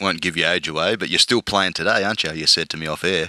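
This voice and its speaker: Recorded dry and close with no echo, a man with an Australian accent speaks in a bright, sharp tone with fairly even intonation. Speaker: podcast host. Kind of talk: casual interview chat. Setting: podcast interview.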